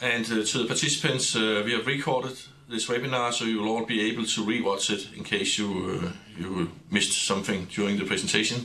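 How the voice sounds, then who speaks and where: A man's medium-pitched voice at a fairly quick pace, with ordinary pitch variation and noticeable background noise. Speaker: webinar moderator. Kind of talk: moderating a webinar. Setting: studio.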